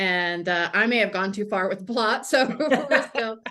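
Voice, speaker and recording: A woman speaks at a moderate pace at a medium pitch, an ordinary speaking voice. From USA. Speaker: mystery novelist. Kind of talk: interview.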